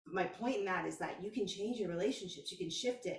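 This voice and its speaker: A woman with an American accent speaks in an animated tone. Audible room echo surrounds her voice. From Texas. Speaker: spiritual coach. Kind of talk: casual vlog monologue.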